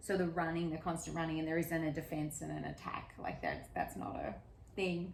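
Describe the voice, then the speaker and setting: An animated woman with an Australian accent at a fairly quick pace, audible room echo around her. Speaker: podcast host. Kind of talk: casual interview chat.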